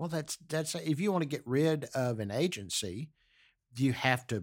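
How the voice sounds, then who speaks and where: In a very clean recording with a silent background, a man with an American accent uses a normal speaking voice, speaking at a moderate pace with lively intonation. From US South, Galveston, Texas. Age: 60s. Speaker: podcast host's father. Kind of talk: casual chat.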